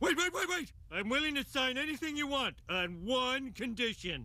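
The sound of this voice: In a cartoonish character voice pitched extremely high, a man talks at a moderate pace.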